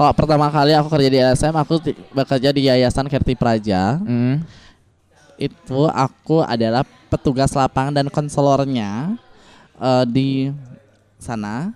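Music plays behind a man whose fairly high pitch varies in an ordinary way as he speaks at a fairly slow pace, the sound dry and close with no echo. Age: 20s. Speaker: transgender and sex worker rights activist. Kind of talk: interview.

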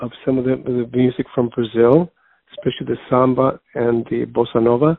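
Here is a man with an American accent and a normal speaking voice. His pitch is medium and his pace moderate. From Chicago, Mexican American family. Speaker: jazz singer and music teacher. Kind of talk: interview.

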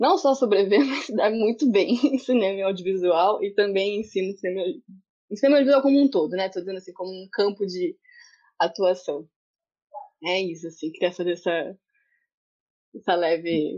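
At a moderate pace, a woman with a medium pitch speaks with lively intonation and big swings in loudness, leaving long, frequent pauses. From interior of São Paulo state, Brazil. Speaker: community media worker and film festival producer. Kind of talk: video conference panel discussion. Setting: video call.

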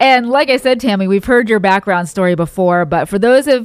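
A woman speaks in a plain, everyday voice, medium in pitch. Her intonation is lively and her pace moderate. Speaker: podcast co-host. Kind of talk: casual interview chat.

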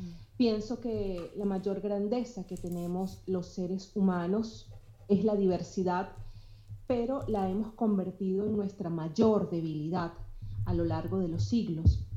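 A woman speaks with a Venezuelan accent at a fairly slow pace. Her medium-pitched voice has a dark, mellow tone and is somewhat breathy. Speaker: blogger. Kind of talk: casual chat.

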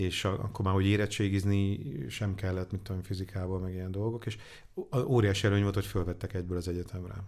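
Very deep and low, a man's voice moves at a very fast pace. His intonation stays flat and monotone. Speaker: angel investor. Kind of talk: interview. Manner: halting.

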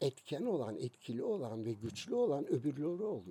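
Here a man talks at a moderate pace in a fairly high pitch with vocal fry. His tone is dark and mellow, and his pitch swings very widely. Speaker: music magazine founder. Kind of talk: casual interview.

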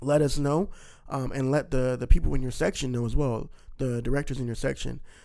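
With an American accent, a man talks at a fairly quick pace using ordinary pitch variation. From Missouri. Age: 20s. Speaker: podcast co-host, church young adult coordinator. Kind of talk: casual chat.

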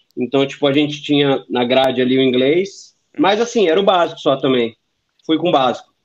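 A man speaks in a plain, everyday voice, fairly high in pitch, with ordinary pitch variation. His pace is fairly quick and his loudness very even. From Brazil. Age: 30s. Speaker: former exchange student, engineer. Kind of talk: casual chat.

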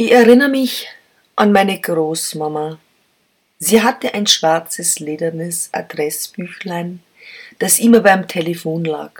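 A woman with a fairly low pitch speaks at a fairly slow pace, leaving long, frequent pauses. Her intonation is lively. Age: 50s. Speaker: podcast host and columnist. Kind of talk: personal essay reading.

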